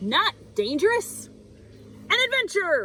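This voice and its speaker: Using a put-on character voice, a woman speaks fairly slowly at an extremely high pitch over clear background noise. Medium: read story. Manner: upbeat, enthusiastic.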